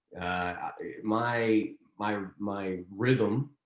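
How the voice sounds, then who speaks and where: A man with a Texas accent speaks at a fairly low pitch with ordinary pitch variation, in a very clean recording with a silent background. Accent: Southern US (Texas). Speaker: actor and director. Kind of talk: interview. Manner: halting, repeats words.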